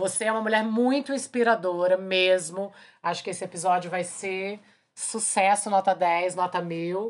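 In a normal speaking voice, a woman talks at a fairly slow pace, with medium pitch and fairly even intonation. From Brazil, Brasília. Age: 40s. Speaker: podcast host, singer and filmmaker. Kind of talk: casual chat.

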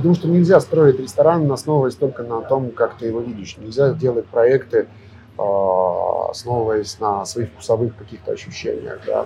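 A man's medium-pitched voice at a moderate pace, with lively intonation and music in the background. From Russia. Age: 30s. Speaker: restaurant owner and chef. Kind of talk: interview. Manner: halting.

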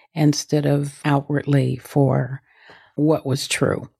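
The voice has a dark, mellow tone and moves at a fairly slow pace. Behind it, the background is quiet. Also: woman. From US West Coast, South Central Los Angeles. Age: 70s. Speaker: meditation teacher and author. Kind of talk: interview conversation.

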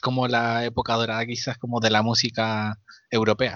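A man in a Chilean accent, medium in pitch, his intonation fairly even. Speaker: podcast co-host. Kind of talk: casual chat. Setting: remote recording from home.

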